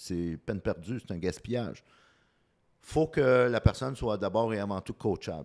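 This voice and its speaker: In a normal speaking voice, lively intonation rides a moderate pace, captured in a very clean recording with a silent background and a dry, close sound with no echo. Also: man. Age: 50s. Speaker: communication coach. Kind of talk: interview.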